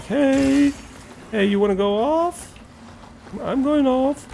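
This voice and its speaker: With clear background noise behind it, a put-on character voice speaks high and fairly slowly. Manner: aggressive, eager.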